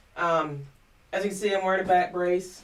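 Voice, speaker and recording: Here a woman speaks at a fairly low pitch. Her pace is fairly quick. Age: 40s. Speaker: vlogger. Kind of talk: personal vlog monologue. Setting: home studio. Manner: hesitant, many fillers.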